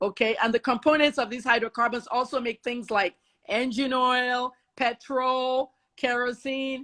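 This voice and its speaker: On a very clean, dry, close recording with a silent background and no echo, a woman speaks in an animated, bright, sharp tone at a high pitch and a fairly slow pace. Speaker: investigative journalist. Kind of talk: heated discussion. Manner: loud.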